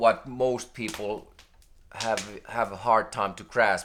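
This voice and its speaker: A man with a non-native accent at a very slow pace. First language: not English. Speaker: spiritual video creator. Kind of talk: unscripted spiritual monologue. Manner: halting, many fillers and restarts.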